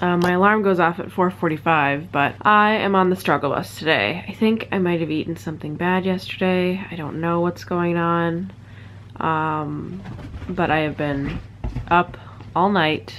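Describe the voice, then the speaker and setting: A woman with a fairly low-pitched voice speaks at a moderate pace with ordinary pitch variation against light background noise. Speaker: vlogger. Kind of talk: casual vlog chat. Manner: weak, tired, unwell voice. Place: home room. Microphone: phone near.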